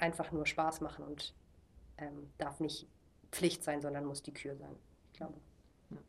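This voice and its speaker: The voice has vocal fry and monotone, flat intonation. It moves at a moderate pace. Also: woman. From Germany. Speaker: missionary, discipleship school leader. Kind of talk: casual interview.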